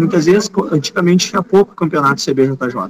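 Here a man speaks in a high voice with ordinary pitch variation. The sound is dry and close, with no echo. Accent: Rio Grande do Sul. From Rio Grande do Sul, Brazil (Gramado, Montenegro). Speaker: jiu-jitsu teacher and competitor. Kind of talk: casual interview chat. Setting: remote video call.

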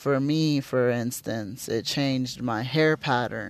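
A man of medium pitch talks at a very slow pace. His intonation stays fairly even. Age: 30s. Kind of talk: solo monologue podcast. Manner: casual with many fillers.

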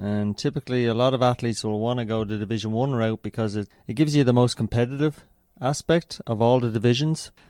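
With an Irish accent, a man of medium pitch speaks at a very fast pace in a dark, mellow tone. His pitch varies in an ordinary way, and the sound is dry and close with no echo. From Ireland. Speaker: running coach. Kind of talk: interview.

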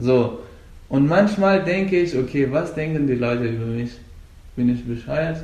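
Speaking at a fairly slow pace, a man with a fairly high pitch and ordinary pitch variation is heard with audible room echo. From Afghanistan. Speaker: Brazilian jiu-jitsu coach and competitor. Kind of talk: interview. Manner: halting.

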